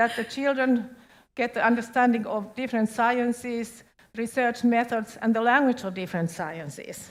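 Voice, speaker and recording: With ordinary pitch variation, a woman talks at a fairly high pitch in a very clean recording with a silent background. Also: moderate pace. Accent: Finnish. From Finland. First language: Finnish. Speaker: education official. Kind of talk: presentation.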